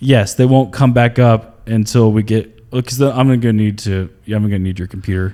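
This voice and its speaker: A man speaks at a moderate pace in a medium pitch, with a dark, mellow tone and hardly any pauses. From North Carolina. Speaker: comedian. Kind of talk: casual chat. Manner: animated.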